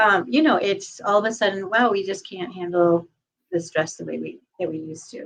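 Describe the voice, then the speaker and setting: A woman has an ordinary speaking voice with a medium pitch and a moderate pace. Her loudness swings a lot. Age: 60s. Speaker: podcast host and sound therapist. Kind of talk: casual chat.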